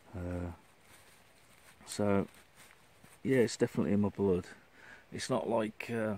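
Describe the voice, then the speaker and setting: This voice has a dark, mellow tone and a West Midlands accent. Its intonation stays fairly even, with long, frequent pauses. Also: man, fairly low pitch for a man, fairly slow pace. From Shrewsbury, Shropshire, England. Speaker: outdoors vlogger. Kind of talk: casual vlog monologue. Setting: outdoors in a forest, hammock under tarp. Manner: hesitant, many fillers.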